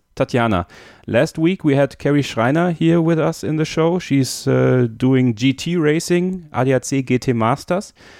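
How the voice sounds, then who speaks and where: Recorded against a quiet background, a man with a German accent speaks fairly slowly at a fairly high pitch, with ordinary pitch variation and very even loudness. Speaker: podcast host. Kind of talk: interview.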